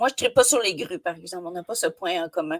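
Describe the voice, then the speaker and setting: In a Quebec accent, a woman talks with ordinary pitch variation, the sound dry and close with no echo. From Quebec, Côte-Nord. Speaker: podcast host. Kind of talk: podcast interview. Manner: enthusiastic.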